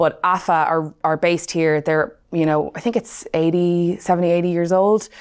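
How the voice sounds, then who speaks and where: A woman with a Dublin accent speaks at a moderate pace in a fairly low voice with fairly even intonation. She keeps a very even loudness and hardly any pauses. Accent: Dublin Irish. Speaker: client success manager. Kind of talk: podcast interview.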